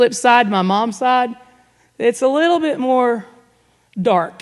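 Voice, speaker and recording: A woman speaks in an Arkansas accent at a very slow pace. Her pitch variation is ordinary. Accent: Southern US (Arkansas). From US South, Northwest Arkansas. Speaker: guest speaker. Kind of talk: testimony. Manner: casual, conversational.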